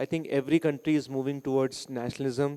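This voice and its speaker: A man's fairly high, dark, mellow voice in an Indian accent, monotone and flat, with a dry, close sound, no echo and a very clean recording over a silent background. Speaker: school director. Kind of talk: podcast interview. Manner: halting, many fillers.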